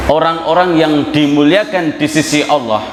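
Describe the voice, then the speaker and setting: Amid noticeable background noise and audible room echo, a man with a fairly high-pitched voice speaks fairly slowly with ordinary pitch variation. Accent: strong Javanese. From Java, Indonesia. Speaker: Islamic preacher. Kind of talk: sermon. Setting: mosque with congregation.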